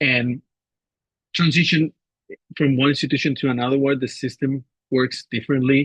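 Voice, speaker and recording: With a non-native accent, a man speaks at medium pitch and with fairly even intonation, the sound dry and close with no echo. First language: not English. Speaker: assistant professor. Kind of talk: webinar panel talk.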